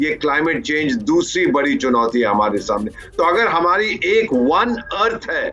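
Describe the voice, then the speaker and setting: Over noticeable background noise, a man with a high pitch speaks with very wide pitch swings and hardly any pauses. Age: 70s. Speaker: foreign affairs expert. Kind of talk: news panel discussion.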